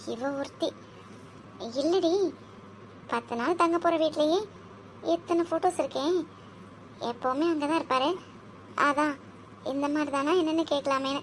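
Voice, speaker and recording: A woman uses a cartoonish character voice pitched high, speaking at a moderate pace with very even loudness. Background noise is clearly audible. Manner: flustered, hurried.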